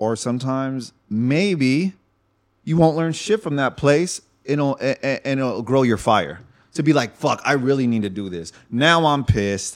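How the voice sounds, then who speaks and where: A man with an American accent speaks fairly slowly in a medium pitch with lively intonation, on a very clean recording with a silent background. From Northern California (Fairfield, Solano County). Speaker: entrepreneur and breakdancer. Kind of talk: casual chat.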